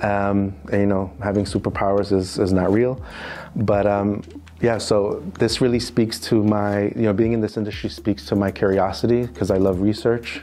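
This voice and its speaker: Over noticeable background noise, a man with a New York accent speaks at a fairly low pitch and a moderate pace, with ordinary pitch variation and very even loudness. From US, New York City. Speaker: financial crime compliance specialist. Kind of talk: interview. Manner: hesitant, many fillers.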